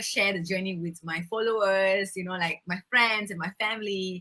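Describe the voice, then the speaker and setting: A woman speaks at a medium pitch in a bright, sharp tone. Her pace is fairly quick. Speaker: beauty pageant winner and environmental advocate. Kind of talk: interview. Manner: fast.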